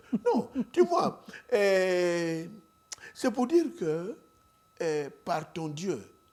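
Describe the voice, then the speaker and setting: Taking long, frequent pauses, a man speaks at a very slow pace. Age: 70s. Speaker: pastor, evangelist. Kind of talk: interview, preaching style. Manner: hesitant, many fillers.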